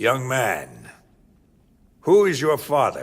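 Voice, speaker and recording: Using a raspy, put-on character voice, a man speaks at a medium pitch. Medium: video game. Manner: regal, solemn.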